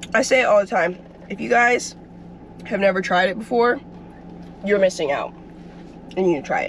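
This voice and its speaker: Against light background noise, a woman talks at a fairly quick pace with ordinary pitch variation. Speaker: athlete vlogger. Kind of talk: casual vlog chat. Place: car. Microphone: phone near.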